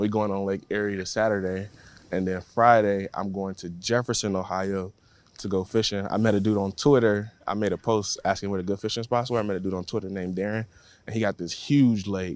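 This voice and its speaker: This man has an American accent and a fairly low pitch, speaking at a fairly quick pace with fairly even intonation. The recording is very clean, with a silent background. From Florida, Tampa. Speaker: professional football player. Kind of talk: interview. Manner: casual, hesitant with fillers.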